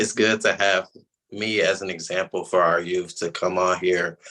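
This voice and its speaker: A man with an American accent speaks at a moderate pace in a fairly low voice with a bright, sharp tone, against a quiet background. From US South, Atlanta, Georgia. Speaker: college student. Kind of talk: panel discussion.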